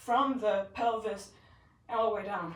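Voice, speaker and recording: The voice is loud and fairly slow, with ordinary pitch variation. Audible room echo surrounds it. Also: woman. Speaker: fitness trainer. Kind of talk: live workout tutorial. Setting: livestream. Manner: animated.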